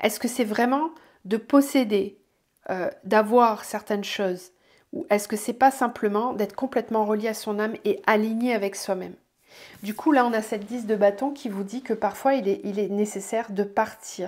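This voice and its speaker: On a very clean recording with a silent background, a woman with a fairly high pitch speaks at a moderate pace, her pitch varying in an ordinary way while her loudness swings widely. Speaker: tarot and energy reader. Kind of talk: weekly oracle card reading guidance. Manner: hesitant, many fillers.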